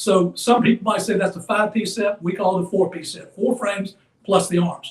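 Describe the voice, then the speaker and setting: Here a man talks at a fairly quick pace. His high voice has monotone, flat intonation. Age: 70s. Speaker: embroidery hoop company owner. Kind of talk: product demonstration. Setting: live stream.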